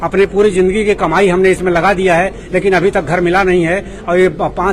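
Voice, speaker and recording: Noticeable background noise surrounds a man with a high pitch. His intonation is monotone and flat, and his loudness very even. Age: 70s. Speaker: protesting homebuyer. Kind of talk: protest interview.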